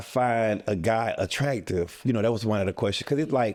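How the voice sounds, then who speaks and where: This man has a normal speaking voice with a medium pitch. His intonation is lively. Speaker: talk show cast member, military veteran. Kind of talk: casual interview.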